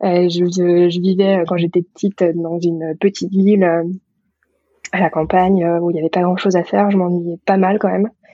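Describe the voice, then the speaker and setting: Her pitch sits fairly low for a woman. She speaks in a monotone, flat way. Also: moderate pace. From rural France. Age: 30s. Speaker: physician. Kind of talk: interview. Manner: halting, many hesitations.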